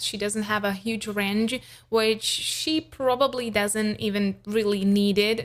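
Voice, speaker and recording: Speaking at a fairly slow pace with a non-native accent, a woman uses a fairly high pitch. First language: not English. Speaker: vocal coach and singer. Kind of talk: reaction commentary. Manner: casual, with hesitations.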